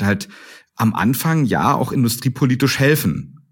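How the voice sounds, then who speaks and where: Lively intonation marks this man's speech. The background is silent and the recording very clean. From Brandenburg, eastern Germany (Strausberg). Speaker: startup CEO. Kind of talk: interview. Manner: hesitant, many fillers.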